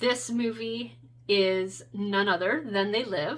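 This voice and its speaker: A woman speaks at a very slow pace. Her pitch is medium. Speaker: tarot content creator. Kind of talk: casual talk to camera, deck flip-through review.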